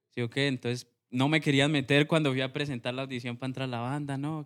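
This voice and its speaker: At a very fast pace, a man with a Huila Colombian accent speaks at medium pitch in a monotone, flat intonation. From Colombia, Huila. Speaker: music producer and sound engineer. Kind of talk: casual interview.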